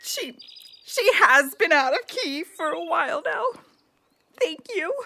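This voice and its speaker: The speaker uses a put-on character voice with very wide pitch swings. The delivery is at a fairly slow pace. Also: female-sounding voice, extremely high pitch for a woman. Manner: dry, a bit grumpy, then organizing.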